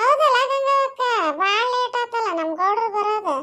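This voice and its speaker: A woman does a cartoonish character voice, squeaky and extremely high in pitch, with lively intonation at a fairly slow pace. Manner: warm, teasing.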